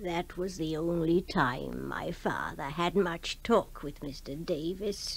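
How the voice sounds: In a put-on character voice, a woman talks slowly with a low pitch, ordinary pitch variation and vocal fry.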